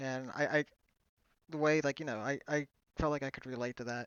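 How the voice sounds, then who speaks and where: This man's voice sits at a medium pitch. He talks in a flat, monotone way. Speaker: gaming youtuber. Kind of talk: personal vlog. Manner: halting, stuttering; hesitant with fillers.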